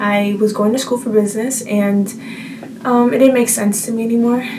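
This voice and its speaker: With an American accent and a fairly high pitch, a woman speaks in a flat monotone at a moderate pace, amid audible room echo and noticeable background noise. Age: 20s. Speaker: vlogger. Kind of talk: casual chat.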